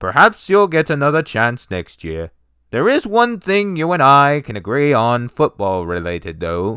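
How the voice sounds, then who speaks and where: A man's put-on character voice at medium pitch and a moderate pace, with very wide pitch swings. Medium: read story. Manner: pompous.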